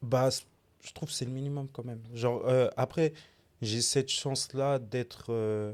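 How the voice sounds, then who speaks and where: An ordinary speaking voice moves at a fairly slow pace with fairly even intonation and big swings in loudness, on a very clean recording with a silent background. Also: man, medium pitch for a man. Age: 20s. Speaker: sneaker designer. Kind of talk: casual podcast interview. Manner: calm, measured.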